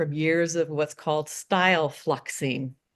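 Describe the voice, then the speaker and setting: A woman with an American accent speaks at a fairly slow pace in a fairly low pitch and a monotone, flat intonation over a quiet background. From Oregon, US. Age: 60s. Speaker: romance novelist. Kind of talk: interview.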